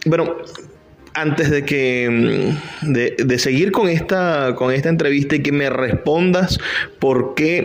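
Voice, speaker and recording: Fairly high male voice with ordinary pitch variation and noticeable background noise. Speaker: radio host. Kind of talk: radio interview host.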